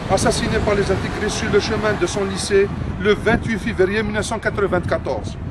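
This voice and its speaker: The speech comes at a fairly quick pace in an Algerian accent with monotone, flat intonation. Noticeable background noise runs underneath. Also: man, high pitch for a man. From Algeria, Kabylie. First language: Kabyle (speaking French). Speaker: mayor. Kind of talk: formal speech at a ceremony. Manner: formal.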